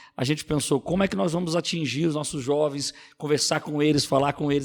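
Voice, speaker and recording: A man with a fairly high pitch talks at a moderate pace, keeping his intonation fairly even. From Rio de Janeiro city, Brazil. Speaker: pastor and youth leader. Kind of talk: podcast interview.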